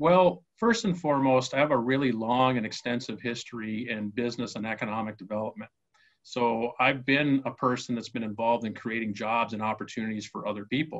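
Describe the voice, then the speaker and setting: With an Upper Midwest accent, a man speaks at a fairly quick pace in a medium pitch with ordinary pitch variation. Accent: Upper Midwest American. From Minnesota, US. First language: Spanish. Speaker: mayoral candidate, business owner. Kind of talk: interview.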